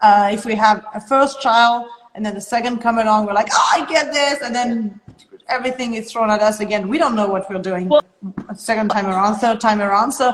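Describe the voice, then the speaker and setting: Amid noticeable background noise, a woman speaks at a fairly quick pace in a fairly high pitch with ordinary pitch variation. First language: French. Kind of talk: podcast conversation.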